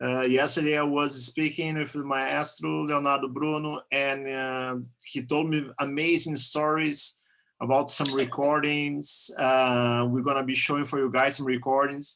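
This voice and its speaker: A man with a Portuguese accent, a fairly high pitch and a bright, sharp tone, speaking at a fairly slow pace in a monotone, flat intonation against a quiet background. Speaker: interviewer, channel owner. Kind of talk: interview over video call.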